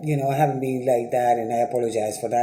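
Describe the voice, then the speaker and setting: A man with a Dominican accent speaks at a medium pitch. Audible room echo and noticeable background noise are present. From Dominican Republic. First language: Spanish. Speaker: writer and TV producer. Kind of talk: casual vlog commentary. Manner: conversational, with frequent hesitations.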